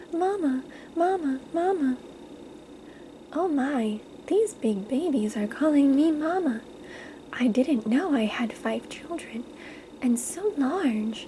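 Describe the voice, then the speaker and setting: Soft-spoken whispering at a very slow pace, broken by long, frequent pauses, over noticeable background noise. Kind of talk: ASMR bedtime story read aloud. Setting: quiet recording with page-turning sounds. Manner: soft-spoken, whispered.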